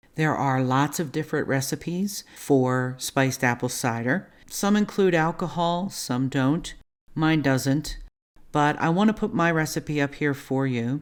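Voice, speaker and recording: A woman with a Baltimore accent speaks in a very deep, low pitch with a calm tone and ordinary pitch variation. Her fairly slow delivery is captured on a very clean recording with a silent background. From Baltimore, US. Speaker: cooking channel host. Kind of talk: cooking tutorial. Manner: calm, instructional.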